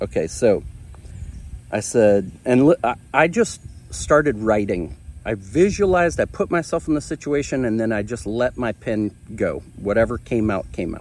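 Vocal fry runs through a man's voice as his pitch swings very widely. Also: medium pitch for a man, moderate pace. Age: 30s. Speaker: relationship coach, video creator. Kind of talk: personal vlog with reading aloud of own letter. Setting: on camera.

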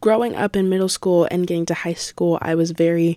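A woman with a plain, everyday voice, fairly low-pitched, at a moderate pace, in a dry, close sound with no echo and a very clean recording with a silent background. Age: young (18). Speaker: podcast host, college student. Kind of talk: casual solo podcast monologue.

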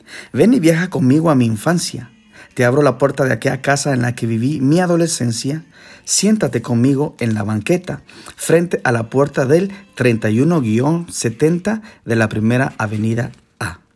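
Here a man speaks with an unremarkable speaking voice at a medium pitch. His intonation is lively. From Guatemala. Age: 40s. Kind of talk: reading aloud from his own memoir.

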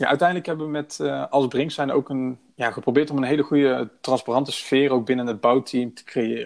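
A man speaks at a medium pitch and a fairly quick pace with fairly even intonation, an ordinary speaking voice, and big swings in loudness over a quiet background. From Breda, Netherlands. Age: 20s. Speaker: project manager. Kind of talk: podcast interview.

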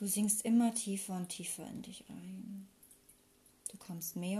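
A woman speaks very slowly at a medium pitch, her tone dark, mellow and gentle. Her voice is somewhat breathy, with fairly even intonation. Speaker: meditation guide. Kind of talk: guided meditation. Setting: recorded with flowing water sound in background. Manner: slow, calm, soothing; gentle, unhurried with long pauses.

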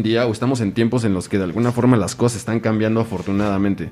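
In a Mexican accent, a man speaks very fast with a dark, mellow tone. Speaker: podcast host. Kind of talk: casual chat.

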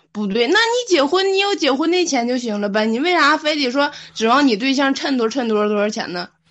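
A high-pitched woman at a fairly quick pace, hardly any pauses, and very wide pitch swings. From Liaoning, northeast China (Fuxin). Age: 20s. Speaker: guest. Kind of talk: casual chat.

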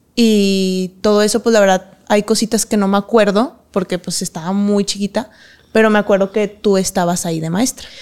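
This is a plain, everyday voice. It moves at a moderate pace with fairly even intonation. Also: woman, medium pitch for a woman. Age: 20s. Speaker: professional dancer. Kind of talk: interview.

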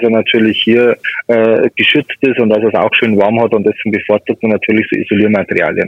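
The speaker talks at a fairly quick pace with a Bavarian accent. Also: man. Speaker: pest control expert. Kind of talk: phone interview.

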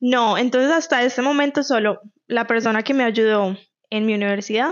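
In a Colombian Paisa accent, a woman speaks at a moderate pace and a fairly high pitch. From Colombia, Medellín. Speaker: podcast co-host. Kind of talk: casual chat.

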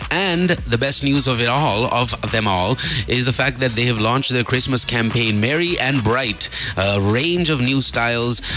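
With music in the background, a man speaks at a medium pitch and a fairly slow pace. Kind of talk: radio DJ patter: morning-show banter with time checks, headlines and sponsor plugs. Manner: chatty and casual, with fillers and laughing asides.

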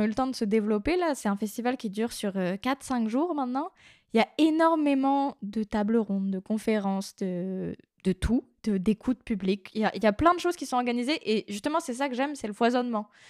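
A woman talks fairly quickly in a normal speaking voice, fairly high in pitch with lively intonation. The recording is very clean, with a silent background and a dry, close sound with no echo. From Brittany, near Brest, France. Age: 20s. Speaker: podcast intern and co-host. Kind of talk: casual chat.

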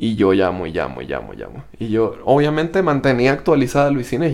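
A man's fairly high voice with lively intonation at a very fast pace. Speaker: podcast co-host. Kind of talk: casual chat. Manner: speaks very quietly.

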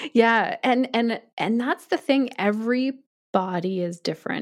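A woman with a normal speaking voice and a Canadian accent talks at a moderate pace, her fairly high pitch moving with lively intonation in a very clean recording with a silent background. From Canada. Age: 40s. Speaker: yoga teacher. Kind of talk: interview conversation.

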